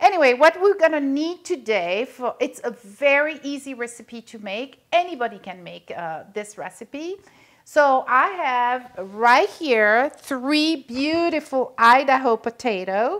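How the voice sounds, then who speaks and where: Her pitch high, a woman speaks at a fairly slow pace with big swings in loudness against a quiet background. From Belgium. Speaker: cooking show host. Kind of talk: cooking tutorial. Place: kitchen.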